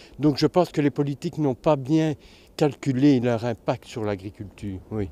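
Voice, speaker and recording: Recorded very cleanly against a silent background, a man's dark, mellow tone with lively intonation sounds dry and close with no echo. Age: 60s. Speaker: organic farmer. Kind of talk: interview testimony. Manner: halting, many repetitions.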